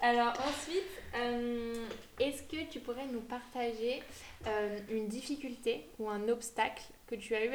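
There is audible room echo as a woman speaks with a fairly high pitch. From France, Savoie (Aix-les-Bains). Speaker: podcast host. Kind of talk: casual interview chat.

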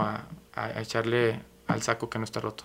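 A man with a medium pitch and a bright, sharp tone is heard on a very clean recording with a silent background. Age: 30s. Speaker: theatre producer and radio host, home buyer. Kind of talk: interview.

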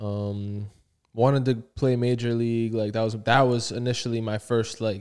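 This man has an unremarkable speaking voice at a medium pitch. He talks at a fairly slow pace. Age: 20s. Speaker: podcast co-host. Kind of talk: casual chat.

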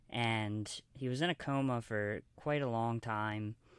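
Fairly even in intonation, an unremarkable speaking voice with an American accent comes through on a very clean recording with a silent background. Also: man. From US, Baltimore, Maryland. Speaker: filmmaker and author. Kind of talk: interview.

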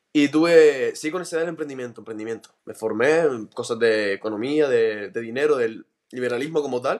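A man's unremarkable speaking voice at medium pitch, moderate pace and ordinary pitch variation. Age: 20s. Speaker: podcaster. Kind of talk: interview.

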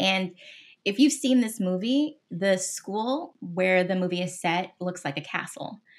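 Recorded very cleanly with a silent background, a woman with an American accent speaks at a fairly slow pace, her medium pitch carried by lively intonation. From US West Coast, Los Angeles. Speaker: music industry marketing executive. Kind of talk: interview.

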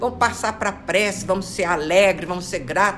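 A woman talks in an animated tone. There is noticeable background noise behind her. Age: 70s. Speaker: spiritist study leader. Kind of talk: religious study talk.

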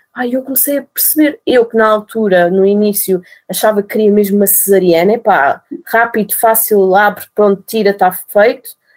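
This is a woman with a plain, everyday voice and medium pitch. She speaks at a moderate pace with ordinary pitch variation. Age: 30s. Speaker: nurse and mother telling birth story. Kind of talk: interview, personal testimony.

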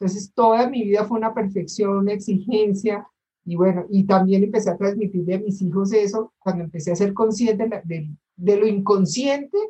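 Somewhat breathy, dark and mellow tones from a woman. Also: medium pitch for a woman, fairly even intonation, moderate pace. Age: 60s. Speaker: course participant. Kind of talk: audience question.

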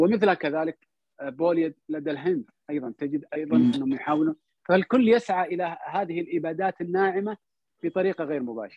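Here a man speaks at a high pitch. His pace is moderate. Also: ordinary pitch variation. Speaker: cultural salon host, guest speaker. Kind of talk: online talk on history. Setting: online audio/video call.

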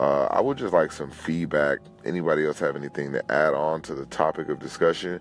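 With an American accent and a very deep, low pitch, a man speaks at a fairly quick pace over noticeable background noise. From Los Angeles, California. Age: 20s. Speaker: personal testimony speaker. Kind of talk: testimony. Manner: halting.

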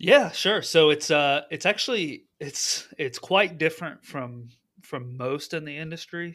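At a fairly slow pace, a man with a plain, everyday voice and fairly high pitch speaks with big swings in loudness. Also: ordinary pitch variation. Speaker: HVAC general manager and football referee. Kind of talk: casual interview conversation.

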